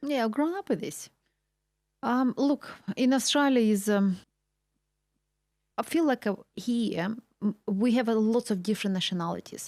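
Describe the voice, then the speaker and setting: A woman with a Russian accent talks at a moderate pace, her pitch fairly high and her pitch variation ordinary. She leaves long, frequent pauses, and the very clean recording has a silent background and a dry, close sound with no echo. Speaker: real estate agent. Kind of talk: interview chat.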